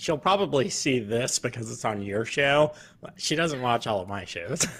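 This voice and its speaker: In a plain, everyday voice, a man with an American accent talks at a moderate pace with a medium pitch and lively intonation. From Virginia, born on Long Island. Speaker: military veteran and show host. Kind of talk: interview. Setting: home office.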